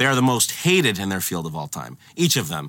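Speaking at a fairly quick pace with an American accent, this voice has vocal fry and a bright, sharp tone on a very clean recording with a silent background. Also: man. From Boston suburbs, Massachusetts. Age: 30s. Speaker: music journalist. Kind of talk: casual chat.

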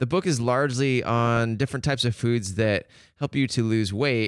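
On a very clean recording with a silent background, a man talks with an American accent. His medium pitch has ordinary variation, and his pace is moderate. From Seattle. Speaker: podcast host and photographer. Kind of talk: interview. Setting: studio with headphones. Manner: radio voice.

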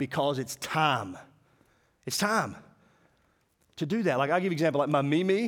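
An animated speaker with a Southern US accent uses lively intonation. The pace is moderate, with long, frequent pauses. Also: man, fairly high pitch for a man. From Mississippi. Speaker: preacher. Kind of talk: sermon.

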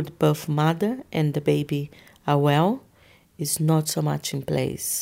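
Speaking at a fairly slow pace, a woman with a Portuguese accent is heard on a very clean recording with a silent background. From Brazil. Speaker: osteopath. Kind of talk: interview.

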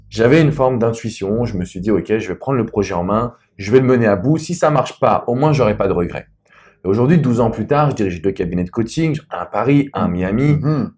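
An unremarkable speaking voice moves at a fairly quick pace with lively intonation on a very clean recording against a silent background. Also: man, medium pitch for a man. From France. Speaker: love and business coach. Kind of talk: interview. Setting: private wine cellar venue.

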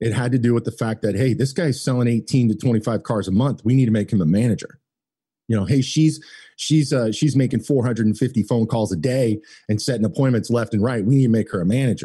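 A man's medium-pitched, somewhat breathy voice with a dark, mellow tone, very fast pace, ordinary pitch variation, very even loudness, and a quiet background. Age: 40s. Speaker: automotive marketing business owner. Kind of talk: casual interview chat.

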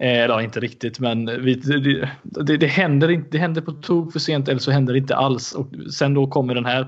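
At a fairly quick pace, a man speaks in a fairly high pitch with fairly even intonation. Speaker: football podcast co-host. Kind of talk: casual chat.

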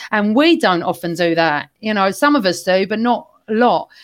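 On a very clean recording with a silent background, a woman speaks at a moderate pace. She has an unremarkable speaking voice with lively intonation. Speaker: football fan guest. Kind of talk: casual chat.

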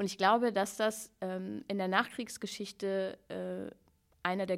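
In a very clean recording with a silent background, a woman uses a normal speaking voice at medium pitch, speaking fairly slowly with fairly even intonation. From Hannover, northern Germany. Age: 30s. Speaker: slam poet and author. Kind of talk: casual interview.

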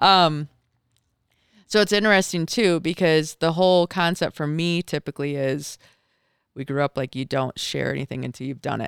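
A woman's very deep, low-pitched voice with an American accent, ordinary pitch variation and a moderate pace broken by long, frequent pauses, with a dry, close sound and no echo. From Michigan. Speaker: mountaineer. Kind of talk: casual chat. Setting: studio.

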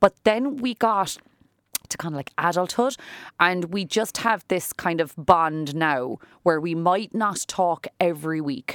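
In a Cork accent, a woman speaks fairly slowly in a fairly low voice with lively intonation. The recording is very clean with a silent background and a dry, close sound with no echo. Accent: Irish (Cork). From Ireland. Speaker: salon owner and businesswoman. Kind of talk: interview. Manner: talkative.

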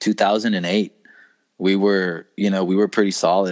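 A man with an American accent has a plain, everyday voice and a fairly low pitch, speaking at a fairly slow pace. The recording is very clean, with a silent background and a dry, close sound with no echo. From Texas, San Antonio. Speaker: college golf coach. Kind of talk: casual chat.

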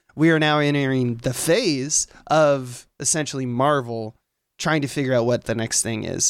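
An ordinary speaking voice from a man, fairly high in pitch with ordinary pitch variation. The recording is very clean, with a silent background. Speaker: guest co-host. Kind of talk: casual chat.

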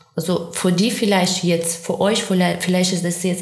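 Noticeable background noise with audible room echo. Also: woman. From Ukraine. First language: Ukrainian or Russian (speaking German). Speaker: war refugee. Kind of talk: interview. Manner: halting non-native phrasing.

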